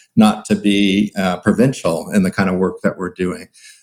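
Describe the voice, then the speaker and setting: At a moderate pace, a man is talking. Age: 60s. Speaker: psychology professor and researcher. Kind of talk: interview conversation.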